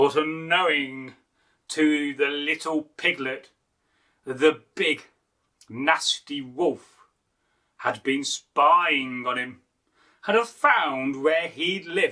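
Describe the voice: A man speaks at a very slow pace with long, frequent pauses. His pitch sits fairly high, the tone bright and sharp, with ordinary pitch variation.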